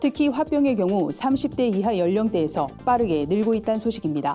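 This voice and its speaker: A woman at a fairly high pitch with very wide pitch swings and a fairly quick pace, music in the background. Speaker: news presenter. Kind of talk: TV news briefing.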